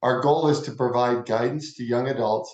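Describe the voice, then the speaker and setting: Man with a plain, everyday voice, medium pitch and fairly even intonation. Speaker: interviewer. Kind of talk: interview questions.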